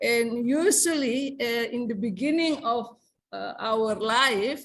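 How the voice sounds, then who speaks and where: Speaking with a South Sulawesi accent, a woman talks at a very slow pace in a high voice. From South Sulawesi, Indonesia (Bugis). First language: Bugis. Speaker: English lecturer. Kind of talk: seminar discussion remarks. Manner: halting, many fillers.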